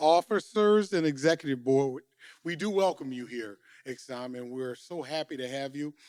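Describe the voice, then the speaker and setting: A man talks in a normal speaking voice with lively intonation at a moderate pace. The sound is dry and close with no echo, and his loudness varies a lot. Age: 60s. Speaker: union official. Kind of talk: welcome speech.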